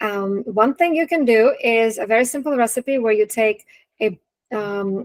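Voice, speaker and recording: A woman with a Russian accent speaks at a fairly high pitch. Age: 40s. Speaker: nutrition and wellness coach. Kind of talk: webinar talk. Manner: casual, animated.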